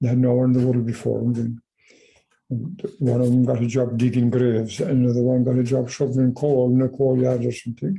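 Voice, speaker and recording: Somewhat breathy and dark, mellow in tone, a man talks at a fairly quick pace with fairly even intonation and very even loudness. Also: medium pitch for a man. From Ireland. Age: 80s+. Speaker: farmer. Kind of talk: oral history interview answer.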